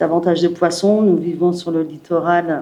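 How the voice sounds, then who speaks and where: At a moderate pace, a woman speaks in a dark, mellow tone at a fairly low pitch. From northern France, Calais. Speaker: municipal election candidate. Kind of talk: prepared speech at press conference. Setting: press conference.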